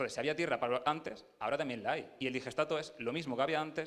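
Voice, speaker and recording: A man's fairly high voice in an Andalusian accent, very fast, with ordinary pitch variation. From Andalusia, Jaén. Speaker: agronomist presenting at field day. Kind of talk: technical talk to audience.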